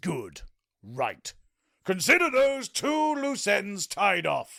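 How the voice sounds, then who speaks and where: A man's put-on character voice, extremely high-pitched and very slow. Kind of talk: comic overacting. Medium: audio drama. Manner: bombastic, petulant, self-centred.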